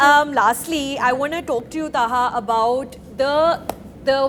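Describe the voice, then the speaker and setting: A woman with a high pitch talks in an animated tone over noticeable background noise. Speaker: film interviewer. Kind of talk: casual interview.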